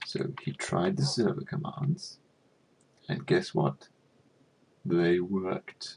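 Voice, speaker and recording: Soft-spoken, a man talks at a very slow pace. Long pauses come often. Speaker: gaming youtuber. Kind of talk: casual commentary.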